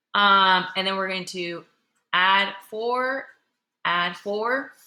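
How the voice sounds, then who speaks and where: A woman talks at a very slow pace in a bright, sharp tone with ordinary pitch variation. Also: medium pitch for a woman. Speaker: middle school math teacher. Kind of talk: classroom lesson. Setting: classroom. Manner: casual, conversational.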